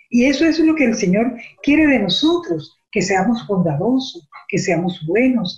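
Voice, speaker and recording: A woman talks fairly slowly, her pitch swinging over a very wide range. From Venezuela. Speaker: church lay teacher. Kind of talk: religious teaching.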